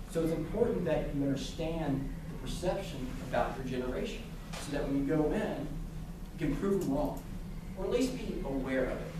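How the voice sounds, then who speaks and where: Amid noticeable background noise and audible room echo, a man talks fairly quickly at a fairly high pitch with lively intonation. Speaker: guest speaker from a sports apparel company. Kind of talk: lecture. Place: classroom. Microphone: camera far.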